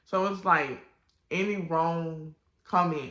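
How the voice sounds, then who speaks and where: With an American accent, a woman speaks in a bright, sharp tone at a fairly low pitch, her intonation fairly even and the room echo audible. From Washington DC. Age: 20s. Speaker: vlogger. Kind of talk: personal testimony vlog.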